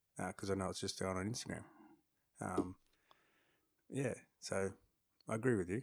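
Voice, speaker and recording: The speaker has an Australian accent and a fairly quick pace, broken by long, frequent pauses. The intonation stays fairly even. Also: man, fairly low pitch for a man. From Australia, Darwin. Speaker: podcaster and photographer. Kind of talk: casual interview. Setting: studio.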